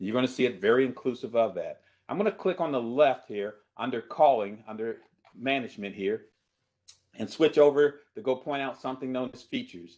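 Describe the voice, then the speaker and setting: A man talks at a fairly quick pace with medium pitch and lively intonation. His loudness swings widely. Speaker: presenter demonstrating cloud calling software. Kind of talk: webinar product demo. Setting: online webinar. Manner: fast.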